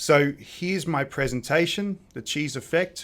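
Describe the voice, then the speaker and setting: With an Australian accent, a man talks at a moderate pace with ordinary pitch variation. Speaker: presentation skills tutor. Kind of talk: software tutorial. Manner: casual, with filler words.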